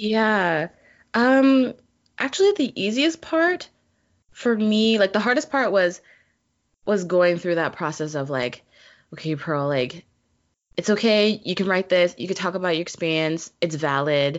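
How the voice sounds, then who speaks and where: A woman with a Canadian accent speaks at a fairly slow pace in a medium pitch, her intonation lively and broken by long, frequent pauses. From Vancouver, Canada. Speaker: comic creator. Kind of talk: interview. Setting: video call.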